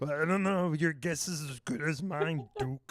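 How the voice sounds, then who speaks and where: In a put-on character voice, a man talks at a moderate pace with a fairly high pitch. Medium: actual play. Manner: gossipy, evasive.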